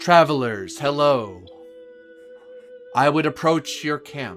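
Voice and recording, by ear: With clear music playing in the background, a man uses a put-on character voice at a fairly high pitch and a fairly slow pace.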